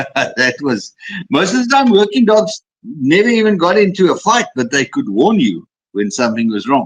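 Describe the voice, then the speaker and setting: A man's high voice with very wide pitch swings at a moderate pace. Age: 60s. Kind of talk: interview. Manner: repetitive stammering.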